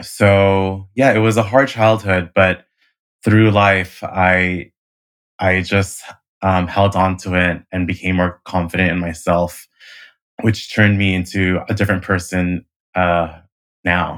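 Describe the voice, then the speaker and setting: Speaking with a Californian accent, a man uses very deep, low pitch and monotone, flat intonation, with long, frequent pauses. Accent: general American (California). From US West Coast (Hayward, California). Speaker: event professional with a stutter. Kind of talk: personal testimony in interview. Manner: halting, many repetitions and fillers.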